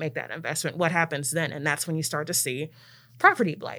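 Recorded very cleanly with a silent background, a woman with an American accent talks very fast in a fairly low, bright, sharp voice with fairly even intonation. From Maryland, near Washington DC. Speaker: city planner and program manager at a neighborhood nonprofit. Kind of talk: casual interview chat. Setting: studio.

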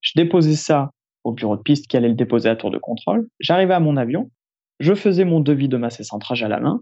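A man's normal speaking voice, fairly high in pitch, with ordinary pitch variation and a fairly quick pace. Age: 20s. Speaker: airline pilot. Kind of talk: interview.

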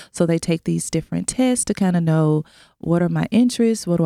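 The voice carries an American accent and a dark, mellow tone with ordinary pitch variation. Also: woman, very clean recording, silent background. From Memphis, Tennessee (US South). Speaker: school network director, former teacher. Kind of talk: radio interview.

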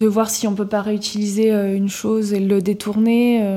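Her dark, mellow voice sits at a medium pitch for a woman, delivered in a flat monotone. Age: 20s. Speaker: co-founder of a vintage homeware shop. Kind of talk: interview.

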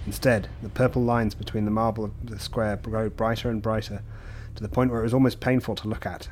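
A man with a medium-pitched voice delivers his words in a monotone, flat way, moving at a fairly quick pace. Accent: English. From England. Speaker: podcast guest reader. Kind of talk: reading aloud.

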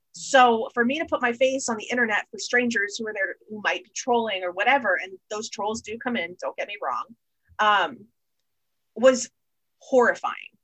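A woman with an American accent, an unremarkable speaking voice, fairly high pitch, ordinary pitch variation and big swings in loudness speaks at a moderate pace. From Florida. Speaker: marketing executive. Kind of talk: casual interview.

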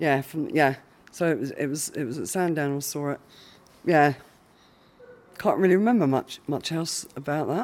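Speaking in a southern English accent, a woman uses a very deep, low pitch and lively intonation at a moderate pace, with long, frequent pauses. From Isle of Wight, southern England. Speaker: hospital patient. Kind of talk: recorded interview. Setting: hospital ward.

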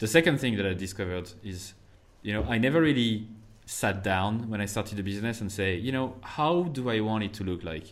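A man talks with a French accent in a fairly low pitch. His pace is fairly quick and his intonation lively. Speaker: marketer and podcast host. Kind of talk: interview. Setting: remote call.

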